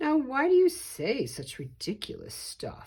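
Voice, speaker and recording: A female-sounding put-on character voice, high-pitched yet gruff and growling. The pace is fairly slow. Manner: growling, annoyed.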